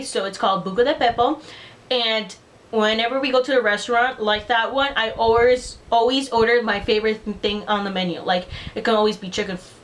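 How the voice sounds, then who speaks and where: A woman with a Spanish accent speaks at a very fast pace. Her pitch is fairly high and her intonation fairly even. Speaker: beauty vlogger. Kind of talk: casual vlog chat. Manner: casual, filler-heavy.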